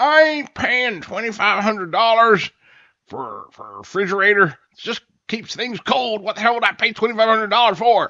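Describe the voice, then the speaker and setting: Putting on a character voice, a man speaks with a high pitch at a moderate pace, with big swings in loudness. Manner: gruff, indignant.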